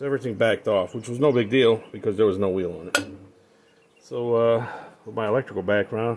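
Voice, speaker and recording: A man with a fairly low voice talks very fast, with fairly even intonation. Noticeable background noise is present. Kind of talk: casual vlog chat. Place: garden. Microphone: phone near.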